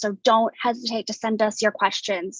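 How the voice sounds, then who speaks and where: A woman speaks at a fairly high pitch. The sound is dry and close, with no echo. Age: 20s. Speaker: arts organization staff, event host. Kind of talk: online panel introduction. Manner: halting, many fillers.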